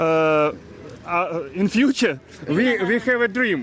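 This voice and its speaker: Very slow speech from a man with a high pitch, over noticeable background noise. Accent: Russian. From Russia. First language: Russian. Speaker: karting team member. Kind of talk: live interview. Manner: halting, many hesitations.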